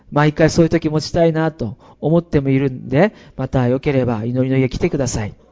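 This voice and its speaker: Fairly high in pitch with ordinary pitch variation, a man with an unremarkable speaking voice talks at a fairly quick pace. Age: 40s. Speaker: pastor. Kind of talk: sermon. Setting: church.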